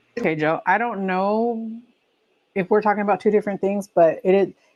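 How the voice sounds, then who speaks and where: A dark, mellow tone comes through with an American accent. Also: woman. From California. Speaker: livestream host. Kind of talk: casual chat. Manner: animated.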